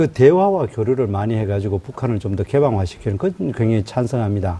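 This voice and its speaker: Very fast talk from a man at medium pitch. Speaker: opposition party spokesperson and lawmaker. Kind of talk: political debate. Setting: studio. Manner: interrupts, combative.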